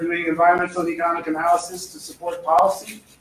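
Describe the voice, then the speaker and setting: Noticeable noise sits behind the voice. The man speaks fairly quickly. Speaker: economist giving a seminar; professor. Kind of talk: seminar talk. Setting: lecture room with microphone. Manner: fast; hesitant with fillers.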